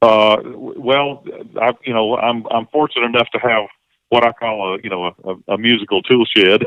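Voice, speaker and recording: This man speaks with a Southern US accent at a moderate pace. His pitch is medium and his intonation fairly even. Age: 60s. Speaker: singer-songwriter and session musician. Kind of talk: casual interview conversation. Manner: halting, many repeated words and fillers.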